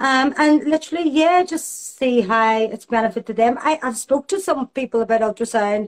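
Sounding dry and close with no echo, a woman with a Belfast accent talks at a moderate pace in a high pitch with lively intonation. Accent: Belfast Northern Irish. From Northern Ireland, Belfast. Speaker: aesthetics nurse practitioner. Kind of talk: interview.

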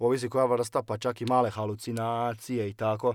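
In a very clean recording with a silent background, a man speaks at a fairly quick pace in a medium pitch, using an ordinary speaking voice. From Croatia, Osijek (Slavonia). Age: 20s. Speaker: churchgoer sharing life story. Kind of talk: testimony.

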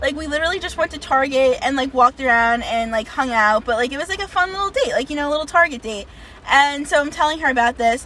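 A woman's high, raised and projected voice, very fast with lively intonation, over noticeable background noise. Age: 20s. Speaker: podcast co-host. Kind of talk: casual chat.

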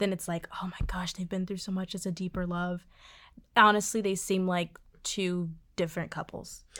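Her tone bright and sharp, a woman at a medium pitch speaks with monotone, flat intonation in a very clean recording with a silent background. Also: moderate pace. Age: 20s. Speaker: podcast co-host. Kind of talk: casual chat.

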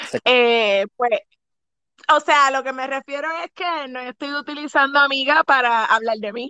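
A raised, projected, bright and sharp voice with big swings in loudness, ordinary pitch variation, a fairly slow pace and a dry, close sound with no echo. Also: woman, high pitch for a woman. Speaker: podcast co-host. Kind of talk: casual chat.

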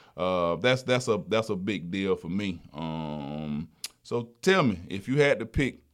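His intonation is lively, with a Southern US accent. The man's pitch is fairly low. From South Alabama. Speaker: trucking company driver retention director, podcast host. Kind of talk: casual chat.

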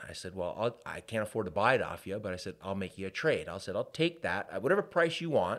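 A man with a Canadian accent talks at a very fast pace. The recording is very clean and the background silent. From Canada, Hamilton, Ontario. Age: 40s. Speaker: business owner. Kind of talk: casual chat.

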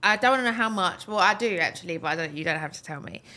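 The woman's voice sits at a fairly high pitch. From Britain. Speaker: podcast host. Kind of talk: casual interview. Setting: video podcast studio.

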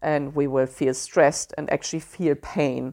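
A woman's very deep, low voice in a German accent, monotone and flat, against a quiet background. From Germany. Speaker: podcast host. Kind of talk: solo podcast monologue, informative talk. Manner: conversational, halting with fillers.

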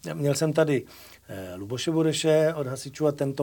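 A man's dark, mellow, fairly high voice at a fairly quick pace with fairly even intonation. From Moravia, Czechia. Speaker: talk show host. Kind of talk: casual interview.

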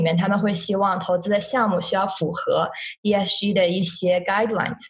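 Audible room echo surrounds a woman speaking at a medium pitch with fairly even intonation. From China. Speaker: university student. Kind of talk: interview. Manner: halting.

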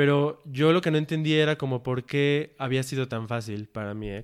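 Talking at a fairly quick pace, a man has a medium pitch, ordinary pitch variation and an unremarkable speaking voice. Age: 20s. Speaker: logistics worker. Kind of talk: casual chat.

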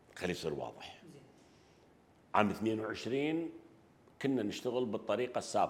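Taking long, frequent pauses, a man of medium pitch speaks at a fairly slow pace with lively intonation. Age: 60s. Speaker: economist and banker. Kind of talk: interview. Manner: halting.

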